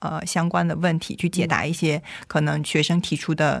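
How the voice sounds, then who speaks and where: A woman with a fairly low pitch speaks with vocal fry. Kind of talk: casual radio chat.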